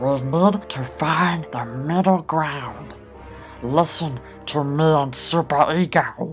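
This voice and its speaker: Against clear music in the background, a man uses a put-on character voice with a fairly high pitch at a very slow pace. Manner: exasperated, reasoning.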